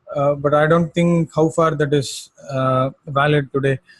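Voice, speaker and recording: A man speaks with a strong Indian accent. His pitch is fairly high. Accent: heavy native Indian accent in English. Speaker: astrologer. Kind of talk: lecture-style commentary. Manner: hesitant, many fillers and repetitions.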